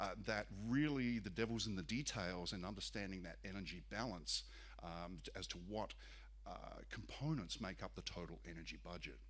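A man's very deep, low voice with vocal fry at a moderate pace. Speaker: presenter. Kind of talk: lecture. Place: hall. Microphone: podium.

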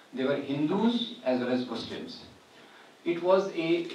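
A man at a fairly slow pace, with light background noise and audible room echo. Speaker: guest lecturer. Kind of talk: public lecture. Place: hall.

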